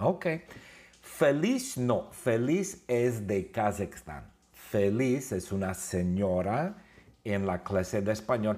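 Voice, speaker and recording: A man with an English accent talks at a very slow pace, his pitch fairly low and his intonation lively. Audible room echo surrounds the recording. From Southern California, Huntington Beach. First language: English (speaking Spanish). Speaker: Spanish teacher. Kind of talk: classroom lesson. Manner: animated; simple slow phrasing.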